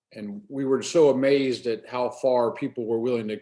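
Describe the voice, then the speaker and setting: A dark, mellow tone with ordinary pitch variation and a Maryland accent. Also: man. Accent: American (Maryland). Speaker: AA speaker. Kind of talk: testimony. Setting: video call. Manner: fast.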